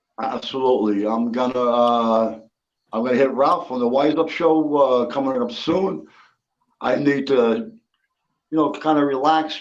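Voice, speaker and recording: With ordinary pitch variation, a man uses an ordinary speaking voice at a medium pitch and a moderate pace. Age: 60s. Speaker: livestream guest, retired bass player. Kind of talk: casual chat.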